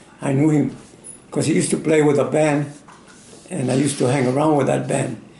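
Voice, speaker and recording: With audible room echo and noticeable background noise, a man speaks at a fairly high pitch in an American accent. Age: 90s. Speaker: war veteran. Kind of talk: interview. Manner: halting.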